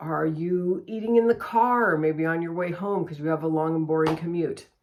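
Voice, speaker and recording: A woman's fairly low voice, an unremarkable speaking voice with lively intonation. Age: 60s. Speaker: lifestyle vlogger. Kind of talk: casual tutorial. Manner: conversational.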